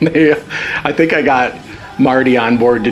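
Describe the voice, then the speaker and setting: A man speaks with music playing in the background. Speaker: tribute band guitarist. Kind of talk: documentary interview. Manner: casual, hesitant with fillers.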